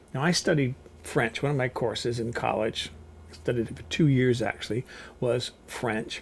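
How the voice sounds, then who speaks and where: A man's medium-pitched voice with vocal fry, ordinary pitch variation and a moderate pace. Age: 60s. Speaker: cooking vlogger. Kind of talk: casual vlog monologue. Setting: seated in a rolling chair at home.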